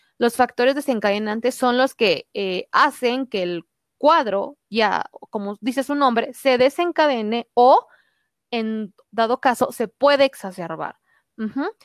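A woman's high-pitched voice with lively intonation at a fairly slow pace, in a dry, close sound with no echo on a very clean recording with a silent background. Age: 20s. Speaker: doctor. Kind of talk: interview.

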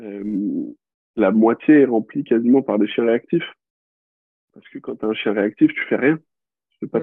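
A man's voice at a moderate pace. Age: 20s. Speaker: dog trainer. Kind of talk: casual interview. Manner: hesitant, many fillers.

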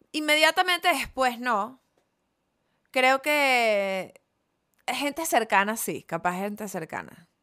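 A woman with a Venezuelan accent talks very slowly in a high, bright, sharp voice, her pitch swinging very widely. She pauses long and often, and the recording is very clean against a silent background. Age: 30s. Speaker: comedian. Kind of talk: casual chat.

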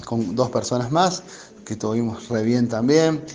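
A man's voice at medium pitch, ordinary pitch variation and a moderate pace, with music in the background. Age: 40s. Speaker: recovered COVID patient, electronics shop employee. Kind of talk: testimony. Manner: halting.

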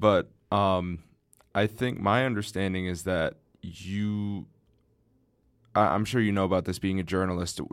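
Someone with a Midwestern American accent speaks at a moderate pace in a monotone, flat intonation on a very clean recording with a silent background. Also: man. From Southeast Michigan (Ann Arbor). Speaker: podcast host. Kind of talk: casual chat.

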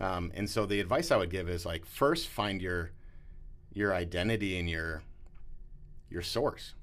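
In a room with audible echo, a man with a very deep, low voice speaks fairly slowly with ordinary pitch variation and long, frequent pauses. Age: 40s. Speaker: pastor. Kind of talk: casual interview.

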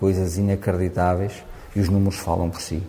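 A man talks at a moderate pace in a very deep, low pitch with monotone, flat intonation. Noticeable background noise runs under his voice. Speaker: rugby coach. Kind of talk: interview.

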